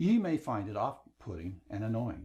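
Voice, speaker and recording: A man's somewhat breathy voice at a medium pitch, dark and mellow in tone, with very wide pitch swings. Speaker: online course instructor. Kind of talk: lecture. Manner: slows down for emphasis.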